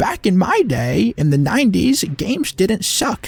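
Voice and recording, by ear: In a put-on character voice with a middle pitch, someone talks at a moderate pace over faint music in the background.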